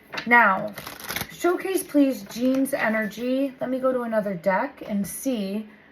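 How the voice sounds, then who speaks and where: Against noticeable background noise, a woman speaks at a high pitch and a fairly slow pace with lively intonation. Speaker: tarot reader. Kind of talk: intuitive tarot reading.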